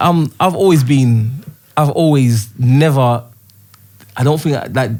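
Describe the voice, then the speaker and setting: A man speaks at a medium pitch and a fairly slow pace. His pitch variation is ordinary. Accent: Birmingham. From Birmingham, England, then South London from about age ten. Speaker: rapper. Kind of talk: casual chat. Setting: studio.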